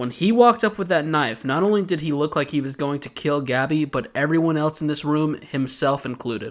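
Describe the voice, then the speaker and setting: On a very clean recording with a silent background, a man with an American accent speaks at a moderate pace and a fairly high pitch. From US South, Georgia. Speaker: podcast host. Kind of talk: casual chat. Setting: studio.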